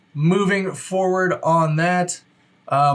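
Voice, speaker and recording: Pitched high, a man speaks with fairly even intonation. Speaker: real estate agent. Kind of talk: market update video. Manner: fast; casual, conversational.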